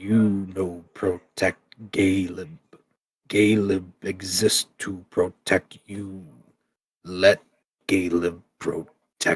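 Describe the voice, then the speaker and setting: Gravelly and very deep, a man's put-on character voice moves at a very slow pace with monotone, flat intonation. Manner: earnest, protective.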